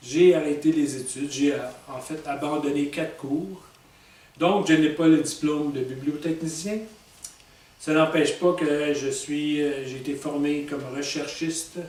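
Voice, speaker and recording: Amid noticeable background noise and audible room echo, a man speaks fairly slowly at a fairly high pitch in a monotone, flat intonation. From Quebec, Montreal. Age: 60s. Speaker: author. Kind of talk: personal self-presentation monologue. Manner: halting, many fillers.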